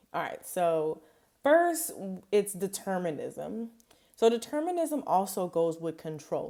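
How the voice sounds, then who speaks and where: This woman speaks with a Louisiana accent. Her pace is fairly slow. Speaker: behavior analyst. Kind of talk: study tutorial. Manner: casual, many fillers.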